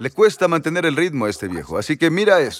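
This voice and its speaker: Animated in tone, a man speaks with vocal fry and very wide pitch swings. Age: 80s+. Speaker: preacher. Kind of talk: sermon.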